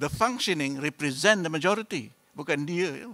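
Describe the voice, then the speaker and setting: Bright and sharp in tone, a man with a fairly high pitch speaks at a fairly slow pace with very wide pitch swings. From Malaysia. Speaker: professor and state politician; speaker. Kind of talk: lecture. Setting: stage with audience. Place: hall. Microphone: podium.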